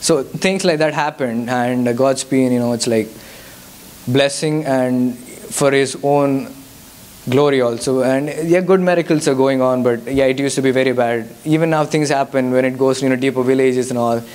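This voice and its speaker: A man's medium-pitched voice with a Telugu accent, very even loudness, fairly even intonation and a moderate pace, amid audible room echo and noticeable background noise. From India. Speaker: guest speaker, mission worker. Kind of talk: testimony with Q&A. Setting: church youth service. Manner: halting.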